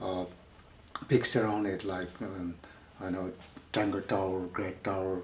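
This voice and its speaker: Audible room echo surrounds a man speaking at a fairly slow pace with a fairly low pitch. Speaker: mountaineer. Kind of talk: interview. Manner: halting.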